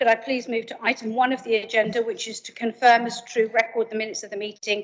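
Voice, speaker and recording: A woman speaks against a quiet background. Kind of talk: formal meeting chairing, introductions. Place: meeting room.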